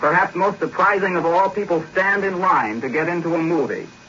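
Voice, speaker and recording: Noticeable background noise sits behind this recording. A man with a fairly high pitch speaks at a fairly quick pace. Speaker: London radio news correspondent. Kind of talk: 1940s radio news correspondent report. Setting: shortwave radio broadcast from London.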